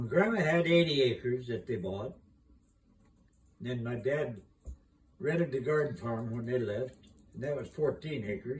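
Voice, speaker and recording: A man speaks at a moderate pace with a Midwestern American accent. His voice is somewhat breathy. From Iowa, USA. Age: 80s+. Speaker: retired farmer and gardener. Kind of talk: casual conversation, reminiscing.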